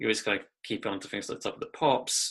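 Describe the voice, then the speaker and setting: Against a quiet background, a man speaks with an English Midlands accent. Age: 30s. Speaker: musician and record label owner. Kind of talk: interview. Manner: hesitant, with fillers.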